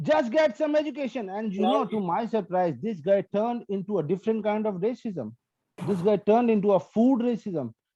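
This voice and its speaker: A man with an Indian accent, a high pitch, a dark, mellow tone and a fairly quick pace. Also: lively intonation. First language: Hindi and Punjabi. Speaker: stand-up comedian. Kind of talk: stand-up. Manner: animated.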